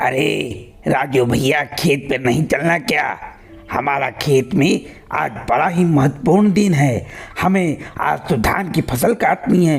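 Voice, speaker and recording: Using a cartoonish character voice, a man speaks at a fairly slow pace and fairly high pitch with very even loudness. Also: lively intonation. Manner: friendly, folksy.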